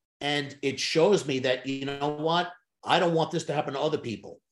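Somewhat breathy speech. The pace is fairly quick. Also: man. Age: 60s. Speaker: sales trainer and hypnotist. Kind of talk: interview.

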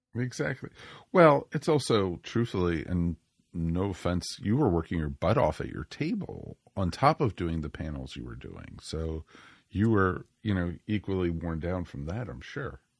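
Very deep and low, this man's voice makes very wide pitch swings and big swings in loudness. The recording is very clean, with a silent background. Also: moderate pace, dry, close sound with no echo. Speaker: podcast host. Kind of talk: casual chat. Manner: animated.

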